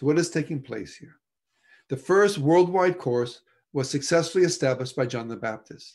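At a moderate pace, a man speaks with ordinary pitch variation against a quiet background. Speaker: presenter. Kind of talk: lecture. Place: home room. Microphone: video call.

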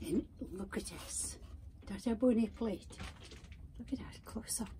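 At a fairly slow pace, a woman speaks at medium pitch in a dark, mellow tone. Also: ordinary pitch variation.

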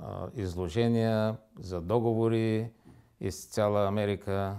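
Against a quiet background, a man speaks at a fairly low pitch with ordinary pitch variation. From Bulgaria, Varna; Bulgaria. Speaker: interview guest. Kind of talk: studio interview. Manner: halting. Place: studio.

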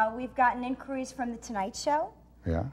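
A woman's high-pitched voice with lively intonation over music in the background. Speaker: cooking show co-host. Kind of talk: comedic show banter. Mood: cheerful, joking. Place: garage. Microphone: lapel.

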